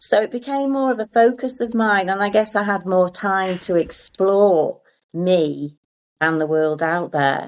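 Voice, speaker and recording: Lively in intonation, a woman speaks in a plain, everyday voice. Her pitch is medium and her pace fairly slow. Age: 60s. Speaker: arts centre volunteer. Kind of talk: casual chat.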